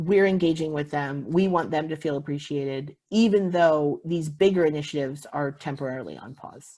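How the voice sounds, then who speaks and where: Hardly any pauses break up this dark, mellow voice, which has ordinary pitch variation. Loudness swings widely on a very clean recording with a silent background. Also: woman, very deep, low pitch for a woman. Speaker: visitor center manager. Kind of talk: conference presentation. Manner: fast.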